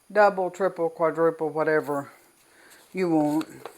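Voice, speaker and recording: A woman with a Southern US accent talks at a fairly low pitch. She keeps a moderate pace and fairly even intonation. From US South. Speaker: cooking channel host. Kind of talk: tutorial. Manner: casual.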